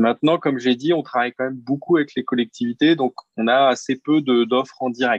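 His intonation stays fairly even. The man speaks at a fairly quick pace. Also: medium pitch for a man. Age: 40s. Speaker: founder of a community repair workshop business. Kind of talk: interview. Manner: halting, with repeated words.

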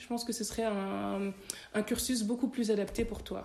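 A woman at a fairly high pitch and moderate pace amid noticeable background noise. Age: 30s. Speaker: tax lawyer. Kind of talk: interview conversation.

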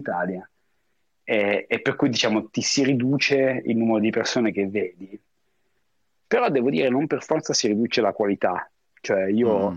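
A man is speaking with ordinary pitch variation. His pace is moderate. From northern Italy, Lake Como. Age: 40s. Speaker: expat professional. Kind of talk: interview. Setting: remote call.

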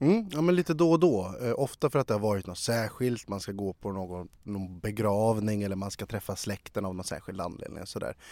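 A man's fairly low, dark and mellow voice, fairly quick with lively intonation and hardly any pauses. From Sweden, Sala. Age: 30s. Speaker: journalist. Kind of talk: interview.

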